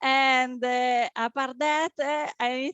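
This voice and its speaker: A woman's high-pitched voice. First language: French. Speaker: event host, SEO meetup co-founder. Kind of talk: event introduction. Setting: online video call. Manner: halting, many fillers.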